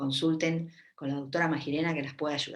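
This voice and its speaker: With a Rioplatense accent, a woman speaks at a moderate pace in a fairly low-pitched voice. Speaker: gynecologist. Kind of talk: live Q&A talk. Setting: Facebook live stream. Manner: casual, with many fillers.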